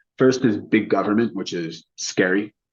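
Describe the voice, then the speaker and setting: Using an ordinary speaking voice, a man talks at a fairly quick pace, his fairly low pitch showing ordinary pitch variation. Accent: American. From United States. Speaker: China insights consultant and author. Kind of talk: interview.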